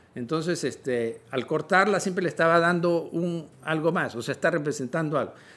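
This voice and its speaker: His pitch is fairly high and varies in an ordinary way as the man talks at a moderate pace. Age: 60s. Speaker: visual artist and writer. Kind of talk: interview conversation. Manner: halting.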